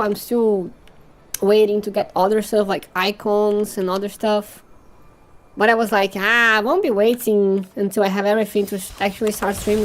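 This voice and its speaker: The woman's pace is moderate. There is noticeable background noise behind her. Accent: Portuguese. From Brazil. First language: Portuguese. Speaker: vtuber and game streamer. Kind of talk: casual live-stream chat while gaming. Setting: live stream. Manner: halting, with fillers and restarts.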